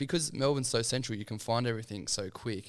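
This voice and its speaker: On a very clean recording with a silent background, a man with a medium-pitched voice and vocal fry talks at a very fast pace. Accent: Australian. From Sydney, Australia. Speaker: podcast host. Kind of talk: casual chat. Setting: podcast.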